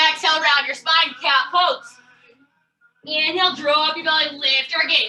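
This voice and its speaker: Raising and projecting her voice over music in the background, a woman speaks at a moderate pace in an extremely high pitch with fairly even intonation. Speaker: yoga instructor. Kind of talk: guided fitness class.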